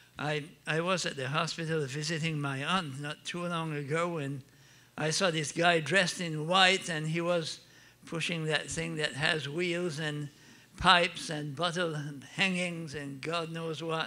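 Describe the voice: Speaking fairly slowly, a man with an Acadian accent keeps a fairly even intonation in a fairly high, bright, sharp voice. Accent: Acadian French Canadian.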